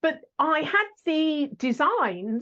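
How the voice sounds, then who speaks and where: Lively intonation marks this woman's speech in an English accent. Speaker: sales podcast host. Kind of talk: interview answers, telling her life story.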